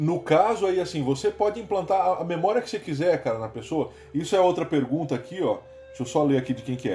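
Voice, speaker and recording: A man's high-pitched voice at a very fast pace, lively in intonation, with music in the background. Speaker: podcast host. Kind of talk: casual chat. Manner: animated.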